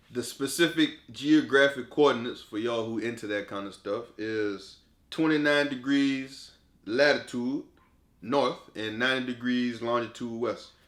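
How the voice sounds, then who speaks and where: In a Louisiana accent, a man talks at a moderate pace and medium pitch with fairly even intonation. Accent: Southern US, Louisiana. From South Vacherie, Louisiana, USA. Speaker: sport psychologist. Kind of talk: casual talk to camera.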